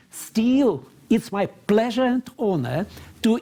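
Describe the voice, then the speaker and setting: A very slow voice with a dark, mellow tone, ordinary pitch variation, and a strong Moscow accent. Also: man. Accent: strong Russian (Muscovite). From Russia, Moscow. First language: Russian. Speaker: moderator, university vice rector. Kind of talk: panel discussion moderation. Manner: halting, repeats words.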